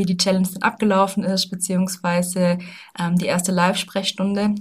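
A woman at a fairly quick pace and medium pitch, somewhat breathy, with monotone, flat intonation. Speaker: health and wellbeing coach, podcast host. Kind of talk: solo podcast monologue. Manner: casual, many filler sounds.

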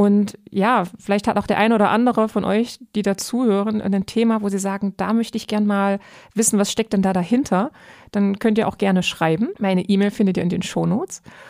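In an ordinary speaking voice, a woman at medium pitch speaks at a fairly quick pace with fairly even intonation and very even loudness, on a very clean recording with a silent background. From eastern Germany. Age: 30s. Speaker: podcast host. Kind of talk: casual chat.

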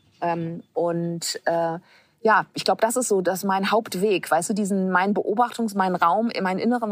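A woman's medium-pitched voice moves fairly slowly, her intonation fairly even. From Hamburg, northern Germany. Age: 50s. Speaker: social entrepreneur and author. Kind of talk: casual interview. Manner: hesitant, many fillers.

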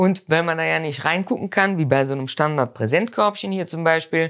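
In a very clean recording with a silent background, a woman speaks with lively intonation at a very deep, low pitch. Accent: Rhineland. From Rhineland, Germany. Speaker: mustard and spice business owner. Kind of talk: interview. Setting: in a shop.

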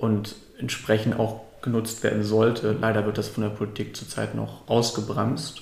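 A man talks at a moderate pace with vocal fry and monotone, flat intonation. Audible room echo surrounds his voice. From northern Germany, Lübeck. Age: young. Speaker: climate activist. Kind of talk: casual interview.

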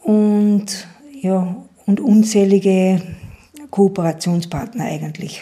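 Speaking very slowly at medium pitch, a woman leaves long, frequent pauses. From Upper Austria, Schärding. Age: 50s. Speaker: entrepreneur and environmental volunteer. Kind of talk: interview. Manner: halting.

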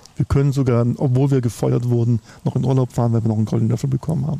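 A man rattles along very fast, his pitch sitting in the medium range and varying in an ordinary way. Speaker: sales analyst and business consultant. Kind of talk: casual chat. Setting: outdoors.

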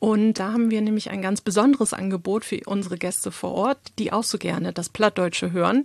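Here a woman speaks in a normal speaking voice, her intonation fairly even. The sound is dry and close, with no echo. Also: medium pitch for a woman, fairly quick pace. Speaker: podcast host. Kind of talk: casual chat.

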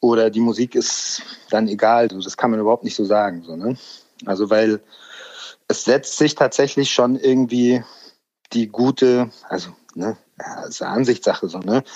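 At a moderate pace, the speaker shows ordinary pitch variation, big swings in loudness, and long, frequent pauses. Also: man, medium pitch for a man. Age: 40s. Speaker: music industry A&R manager. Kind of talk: casual interview chat. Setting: remote call.

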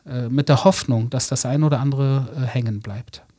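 A man talks at a moderate pace with a fairly high pitch and ordinary pitch variation. His voice is somewhat breathy, with a dark, mellow tone. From Germany, Berlin (Wedding). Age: 40s. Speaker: author. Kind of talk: interview. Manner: conversational, with fillers.

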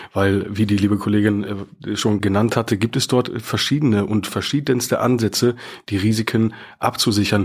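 At a moderate pace and with very even loudness, an unremarkable speaking voice comes through a very clean recording with a silent background. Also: man, fairly low pitch for a man, fairly even intonation. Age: 30s. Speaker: bank mortgage advisor. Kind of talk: casual interview.

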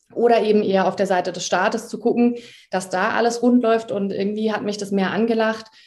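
Monotone, flat intonation in a medium-pitched female voice. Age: 30s. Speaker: law lecturer at a police academy. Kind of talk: podcast interview. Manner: frequent filler sounds.

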